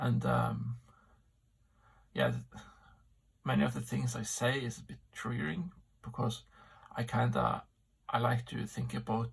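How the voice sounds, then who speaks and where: A man talks at a fairly slow pace, leaving long, frequent pauses. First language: not English. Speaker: amateur philosopher vlogger. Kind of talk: solo vlog monologue. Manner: halting, many fillers.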